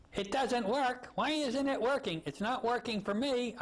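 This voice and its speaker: A put-on character voice shouts at a moderate pace with fairly high pitch over light background noise. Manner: yelling.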